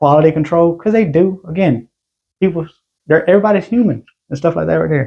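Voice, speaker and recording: Fairly high in pitch, a man talks at a fairly quick pace with lively intonation. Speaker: gun collector vlogger. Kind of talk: casual show-and-tell vlog.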